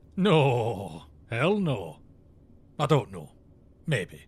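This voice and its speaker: Raspy and medium-pitched, a man performs a put-on character voice with very wide pitch swings on a very clean recording with a silent background. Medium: audio drama. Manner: breezy, casual.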